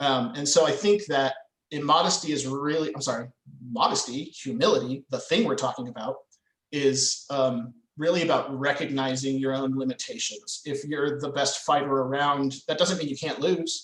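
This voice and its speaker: The speaker is a man with a fairly high pitch. His pitch varies in an ordinary way, and his pace is moderate. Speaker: medieval reenactment fighter and poet. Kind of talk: podcast interview conversation. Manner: halting, many fillers.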